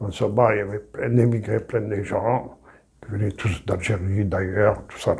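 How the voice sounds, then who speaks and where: A man with a fairly low pitch talks at a fairly slow pace in monotone, flat intonation. His somewhat breathy voice shows big swings in loudness. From Algeria, small town. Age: 70s. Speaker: retired immigrant telling life story. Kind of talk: personal testimony interview.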